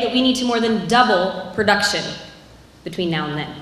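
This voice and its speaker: Audible room echo surrounds a woman with an American accent. She speaks very fast with ordinary pitch variation. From US Midwest. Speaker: agriculture professor. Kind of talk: presentation. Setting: stage with audience. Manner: loud. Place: stage. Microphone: handheld.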